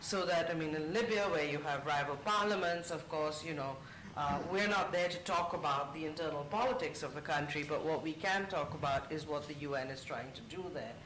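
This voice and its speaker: Over noticeable background noise and audible room echo, a man speaks fairly quickly with hardly any pauses. His fairly high voice shows ordinary pitch variation. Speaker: UN media official. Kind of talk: panel discussion. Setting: conference panel with audience.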